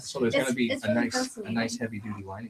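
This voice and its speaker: A man speaks at a fairly quick pace in a medium-pitched, somewhat breathy voice with ordinary pitch variation. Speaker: leather goods maker and auctioneer. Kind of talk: casual product demonstration in a talk show.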